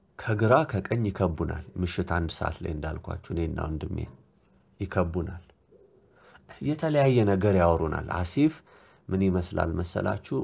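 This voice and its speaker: This very clean recording with a silent background carries a man's very deep, low voice with a dark, mellow tone. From Ethiopia, Addis Ababa. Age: 30s. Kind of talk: testimony recounting a dream.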